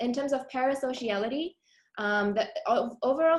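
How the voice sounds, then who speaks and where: This woman speaks with ordinary pitch variation. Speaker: academic researcher. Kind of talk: conference presentation. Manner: fast.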